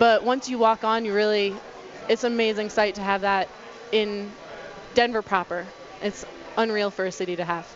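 With noticeable background noise behind her, a woman of medium pitch speaks at a moderate pace in a monotone, flat intonation, leaving long, frequent pauses. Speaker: urban farm representative. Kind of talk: casual chat. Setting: studio.

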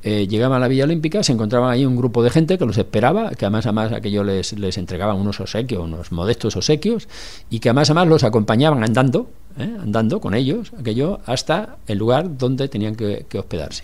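A man talks very fast in a medium register, his intonation lively. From Catalonia, Barcelona. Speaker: former city councillor. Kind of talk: radio interview. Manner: halting, with many repeated words.

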